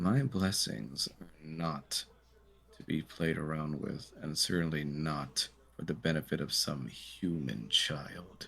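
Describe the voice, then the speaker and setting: Using a put-on character voice, a man speaks guttural and stern at a very deep, low pitch and a fairly slow pace. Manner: stern, disdainful.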